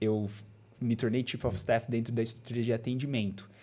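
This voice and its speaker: Flat and monotone, the voice has a dark, mellow tone and moves at a fairly quick pace. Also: man. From Bauru, interior of São Paulo state, Brazil. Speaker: people and culture leader at a digital bank. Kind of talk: interview conversation.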